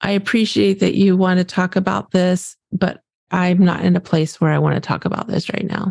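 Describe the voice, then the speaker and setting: In a very clean recording with a silent background and a dry, close sound with no echo, a woman speaks at a moderate pace in a calm tone that is dark and mellow. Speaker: grief coach. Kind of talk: casual chat.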